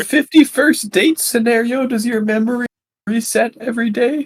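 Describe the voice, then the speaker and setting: A put-on character voice, fairly high in pitch, at a moderate pace. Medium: actual play.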